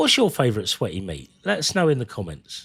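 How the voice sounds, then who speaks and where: A man with a British accent and medium pitch, talking fairly quickly over music in the background. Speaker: gaming streamer. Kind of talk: casual live-stream chat. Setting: live stream.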